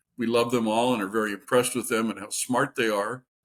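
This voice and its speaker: A man's fairly quick speech is captured in a very clean recording against a silent background. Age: 60s. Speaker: substitute teacher and channel host. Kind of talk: casual monologue. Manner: conversational with hesitations.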